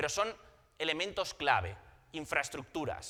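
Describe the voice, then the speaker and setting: The voice has a bright, sharp tone with vocal fry and moves at a fairly quick pace. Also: man. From Spain. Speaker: telecom consultant, conference presenter. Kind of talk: conference presentation. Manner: halting, with frequent repetitions and fillers.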